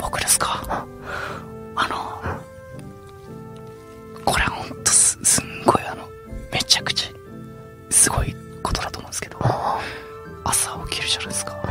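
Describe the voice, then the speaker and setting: A man's voice at a moderate pace with clear music in the background. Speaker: voice actor. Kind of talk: radio show banter between two voice actors. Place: studio.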